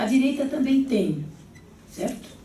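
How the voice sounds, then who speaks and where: A woman speaks with audible room echo. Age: 70s. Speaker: gubernatorial candidate and education professor. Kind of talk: political debate. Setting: panel debate before an audience of teachers.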